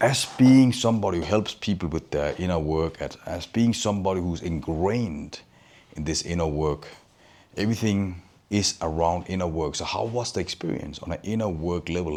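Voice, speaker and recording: With ordinary pitch variation, a man speaks in a very deep, low voice. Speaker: inner work coach. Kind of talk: casual talk to camera.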